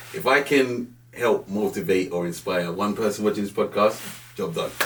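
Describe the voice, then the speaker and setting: With noticeable background noise behind him, a man speaks in a Jamaican accent at a moderate pace with ordinary pitch variation. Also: fairly low pitch for a man. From Jamaica, Kingston, then North London. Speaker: banking director. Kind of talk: podcast interview. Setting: studio.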